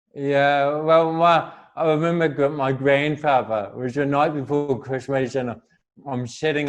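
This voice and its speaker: Speaking with a New Zealand accent, a man keeps a medium pitch. His pace is fairly slow and his intonation fairly even. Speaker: motivational speaker. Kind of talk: interview.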